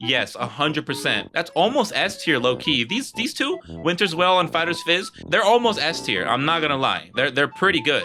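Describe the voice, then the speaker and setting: Over music in the background, a man with a fairly high pitch talks at a moderate pace with very wide pitch swings. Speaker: gaming YouTuber. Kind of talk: casual commentary while ranking on a timer. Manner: casual, animated.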